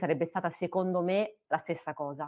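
A woman with a fairly low voice talks at a fairly quick pace. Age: 30s. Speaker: biomedical researcher. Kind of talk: personal testimony. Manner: halting, with fillers.

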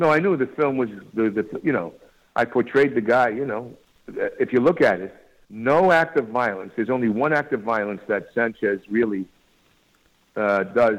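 Lively intonation marks this man's New York accent. He keeps a moderate pace broken by long, frequent pauses. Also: medium pitch for a man. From New York, Long Island. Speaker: actor. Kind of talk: interview.

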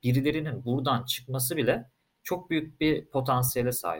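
A somewhat breathy voice at a moderate pace. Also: man. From Turkey, Istanbul. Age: 20s. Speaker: crypto company co-founder. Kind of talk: casual interview.

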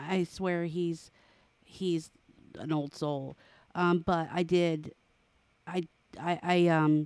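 A woman speaks very slowly in a fairly low, flat monotone, leaving long, frequent pauses. The recording is very clean, with a silent background. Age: 40s. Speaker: podcast co-host. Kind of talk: casual chat.

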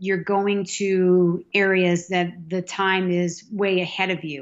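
A woman speaks at a medium pitch with an American accent. Her intonation is fairly even and her pace very slow. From Massachusetts, South Boston. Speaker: hockey fan. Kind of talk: casual chat.

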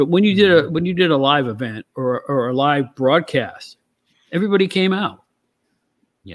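This man talks at a very fast pace with ordinary pitch variation. He speaks with a New York accent. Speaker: co-host, former wrestling magazine editor. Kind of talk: casual chat.

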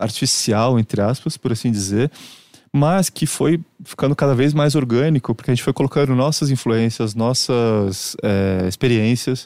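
A man speaks at a moderate pace and medium pitch, his tone dark and mellow with ordinary pitch variation. The loudness stays very even, and the sound is dry and close with no echo. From Brazil, Santos (São Paulo state). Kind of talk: casual chat.

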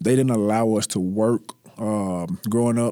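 At a moderate pace, a man with a Mississippi accent and medium pitch speaks in a dark, mellow tone with fairly even intonation, recorded dry and close with no echo on a very clean track with a silent background. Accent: Southern US (Mississippi). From US South, North Mississippi. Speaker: real estate agent and former college football player. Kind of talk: interview. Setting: studio.

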